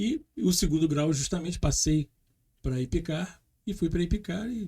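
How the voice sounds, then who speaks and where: A man speaks at a fairly slow pace in a high pitch. The recording is very clean, with a silent background. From Brazil, Rio de Janeiro. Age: 60s. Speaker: former air force pilot sharing near-death experience. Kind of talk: podcast interview testimony.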